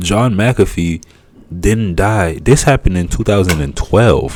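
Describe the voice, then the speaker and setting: A man with a Haitian accent at a fairly slow pace. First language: Haitian Creole. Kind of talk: casual commentary. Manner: halting, repetitive.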